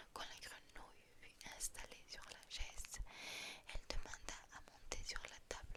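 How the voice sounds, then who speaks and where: Whispering comes at a very slow pace against noticeable background noise. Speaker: ASMR creator. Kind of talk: fairy tale reading. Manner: soft-spoken.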